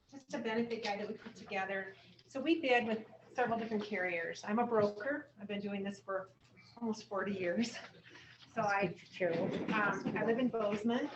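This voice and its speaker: A woman's fairly high voice in an American accent, at a fairly quick pace with ordinary pitch variation and long, frequent pauses, over noticeable background noise. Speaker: insurance broker. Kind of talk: sales presentation. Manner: loud.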